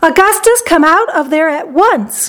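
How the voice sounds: Shouting in a put-on character voice, a woman goes extremely high and shrill, with a fairly bright tone, lively intonation and a fairly slow pace.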